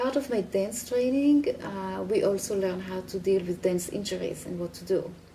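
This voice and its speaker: A woman speaks with an Israeli accent. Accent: Hebrew. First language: Hebrew. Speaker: healer and dancer. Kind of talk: interview.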